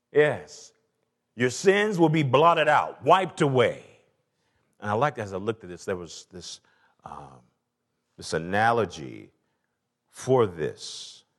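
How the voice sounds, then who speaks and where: With an American accent, a man speaks with very wide pitch swings, vocal fry, big swings in loudness and long, frequent pauses over a quiet background. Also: medium pitch for a man, fairly slow pace. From US South, Atlanta. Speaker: pastor. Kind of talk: sermon. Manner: animated.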